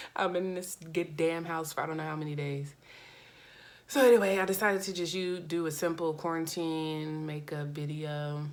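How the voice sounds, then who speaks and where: Fairly low-pitched woman's voice in an American accent, moderate in pace, fairly even in intonation, with audible room echo. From US West Coast, Oakland Bay Area. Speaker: makeup vlogger. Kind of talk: tutorial. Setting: at home. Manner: low-energy.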